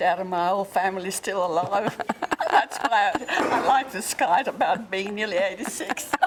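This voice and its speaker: Noticeable background noise sits behind a woman speaking with an Australian accent. Her pitch is medium, her pitch variation ordinary, and her pace moderate. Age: 80s+. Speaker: fitness class participant. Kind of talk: interview.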